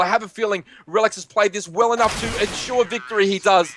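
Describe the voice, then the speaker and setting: Noticeable background noise fills the clip. Over it, a man talks very fast. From Australia. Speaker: esports caster. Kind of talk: live commentary. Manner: animated.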